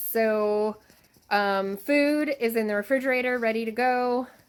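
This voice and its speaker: A woman speaks at a very slow pace. Her pitch is fairly high, with ordinary pitch variation. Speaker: fitness vlogger. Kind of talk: casual vlog narration. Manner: soft-spoken.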